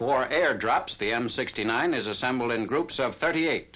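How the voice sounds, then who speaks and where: A man speaks at medium pitch with ordinary pitch variation. He has an unremarkable speaking voice. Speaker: newsreel narrator. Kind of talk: newsreel narration.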